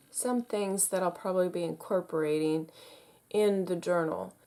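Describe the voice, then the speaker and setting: A dark, mellow tone marks this woman's voice. The pitch of her speech varies in an ordinary way. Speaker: crafting YouTuber. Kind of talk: tutorial.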